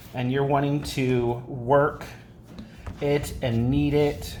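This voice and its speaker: The speaker goes at a very slow pace. Light background noise can be heard. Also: man. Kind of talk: casual cooking talk to camera. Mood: relaxed, casual. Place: kitchen. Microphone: phone near.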